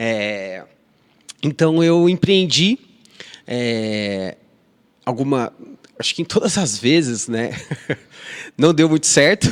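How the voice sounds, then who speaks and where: In an interior São Paulo accent, a man with a fairly high pitch talks at a very slow pace, with long, frequent pauses and very wide pitch swings. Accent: mineiro-like interior São Paulo. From Ribeirão Preto, São Paulo state, Brazil. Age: 30s. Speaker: restaurant association executive director. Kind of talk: podcast interview. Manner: hesitant, many fillers and repetitions.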